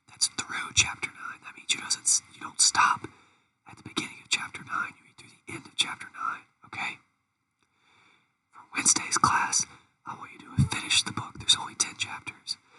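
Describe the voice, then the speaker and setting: Someone whispers at a fairly quick pace, with long, frequent pauses. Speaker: college teacher. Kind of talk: lecture. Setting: recorded video. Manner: whispering.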